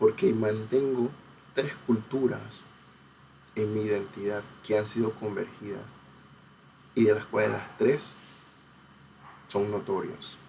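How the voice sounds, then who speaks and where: With a Panamanian accent, a man talks fairly slowly at a fairly low pitch and fairly even intonation. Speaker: cultural researcher and video essayist. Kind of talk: educational talk. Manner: hesitant with many fillers.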